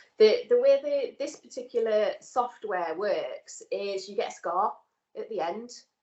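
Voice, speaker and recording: In a northern English accent, the speaker talks at a fairly slow pace with big swings in loudness. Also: woman. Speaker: nursing student. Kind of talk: casual chat.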